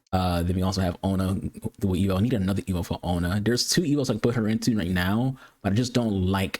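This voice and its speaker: A man with an animated tone, a very fast pace and ordinary pitch variation, on a very clean recording with a silent background. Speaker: gaming video creator. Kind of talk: casual gameplay commentary. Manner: fast, words run together.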